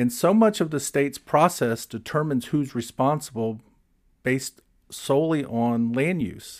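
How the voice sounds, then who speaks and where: With an American accent and a normal speaking voice, a man talks at a moderate pace with lively intonation on a very clean recording with a silent background. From Florida. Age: 60s. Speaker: environmental policy expert. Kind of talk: interview conversation.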